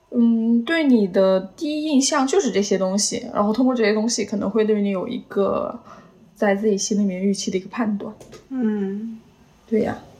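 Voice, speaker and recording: A woman's fairly high voice at a moderate pace, with noticeable background noise. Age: 20s. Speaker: podcast guest, office worker. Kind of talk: casual chat.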